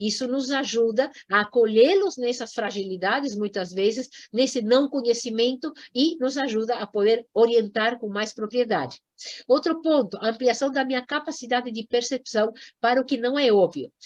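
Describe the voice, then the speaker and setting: A woman's high voice, animated in tone, at a moderate pace with ordinary pitch variation. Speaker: environmental education lecturer. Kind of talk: lecture.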